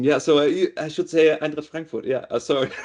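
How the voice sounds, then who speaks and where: A man with a German accent at a moderate pace, over a quiet background. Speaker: data and AI director. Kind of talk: interview. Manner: halting.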